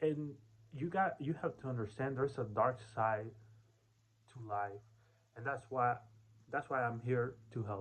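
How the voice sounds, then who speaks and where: A man's somewhat breathy voice at medium pitch, moderate pace and ordinary pitch variation, with long, frequent pauses and big swings in loudness. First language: Spanish. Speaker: self-development vlogger. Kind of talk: casual vlog monologue. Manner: halting, with many fillers and restarts.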